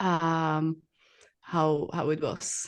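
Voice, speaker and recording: A woman speaks with a Czech accent. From Czech Republic. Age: 20s. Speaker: bodybuilding athlete and coach. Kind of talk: interview podcast. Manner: halting.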